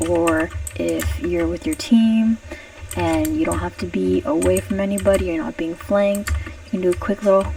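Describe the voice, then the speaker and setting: Noticeable background noise sits behind this recording. A woman talks at a moderate pace. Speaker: gamer. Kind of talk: casual gameplay commentary. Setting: home recording, poor microphone.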